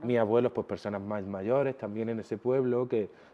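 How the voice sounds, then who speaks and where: This man has an ordinary speaking voice at medium pitch. He talks at a fairly quick pace with fairly even intonation. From Jaén, Andalusia, Spain. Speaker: fashion designer. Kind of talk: interview answer.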